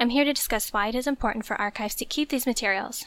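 Very fast and fairly high-pitched, a woman talks with a bright, sharp tone. Her intonation stays fairly even. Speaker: archivist. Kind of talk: scripted podcast segment.

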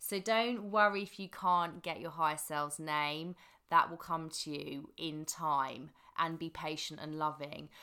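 A woman speaks at a fairly slow pace with a very deep, low pitch, ordinary pitch variation, and a bright, sharp tone. Her loudness swings widely on a very clean recording with a silent background. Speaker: podcast host and manifesting coach. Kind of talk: solo podcast monologue about spirituality. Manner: stuttering at times, warm and chatty.

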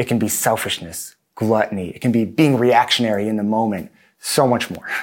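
Male speech in a normal speaking voice, medium in pitch, at a moderate pace. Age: 30s. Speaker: pastor. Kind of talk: sermon. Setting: video recording for online congregation.

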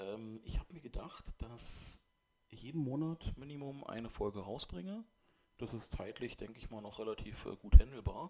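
Lively intonation runs through this man's speech. His voice is medium in pitch with a dark, mellow tone. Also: moderate pace, big swings in loudness. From Brandenburg, Germany (Eberswalde). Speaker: podcaster. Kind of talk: solo monologue. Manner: halting, many fillers. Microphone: new microphone, poor recording quality.

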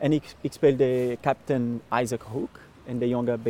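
Very slowly, a man speaks with a Brazilian accent and a dark, mellow tone. The sound is dry and close, with no echo. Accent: Brazilian Portuguese accent in Dutch. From Brazil, Minas Gerais. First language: Portuguese (speaking Dutch). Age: 30s. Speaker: actor and lookalike performer. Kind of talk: casual interview. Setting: outdoors, walking. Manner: halting.

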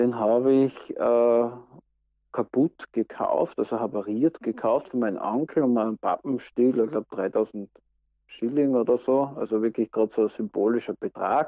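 Here is an ordinary speaking voice at a moderate pace, with very even loudness and ordinary pitch variation. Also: man, medium pitch for a man. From Austria, Styria. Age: 40s. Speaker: interviewee. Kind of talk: casual interview.

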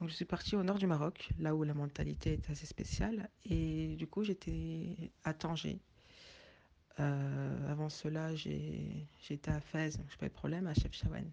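With a quiet background behind it, the delivery comes at a fairly slow pace. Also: woman. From French of Senegalese descent. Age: 20s. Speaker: interviewee. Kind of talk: testimony.

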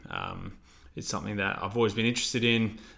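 A man speaks very fast with an Australian accent. His intonation is monotone and flat. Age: 20s. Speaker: physiotherapist and podcast co-host. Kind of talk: casual chat.

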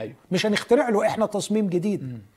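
A man with a high pitch at a fairly quick pace. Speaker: pastor. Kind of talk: religious teaching.

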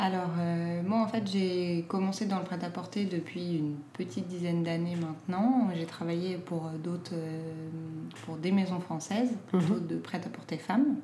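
A woman talks at a fairly slow pace with a fairly low pitch and fairly even intonation, amid audible room echo and noticeable background noise. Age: 30s. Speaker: clothing brand founder. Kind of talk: casual interview. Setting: at her home. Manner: hesitant, many fillers.

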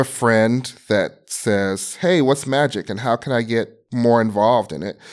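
A plain, everyday voice from a man at a fairly slow pace, with ordinary pitch variation, in a very clean recording over a silent background. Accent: American. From US Midwest, Chicago. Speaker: game streaming director. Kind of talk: interview.

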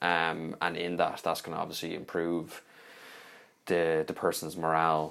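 Monotone, flat delivery in a Dublin accent at a moderate pace. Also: man, very deep, low pitch for a man. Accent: Dublin Irish. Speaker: recruiter, podcast co-host. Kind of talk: casual chat.

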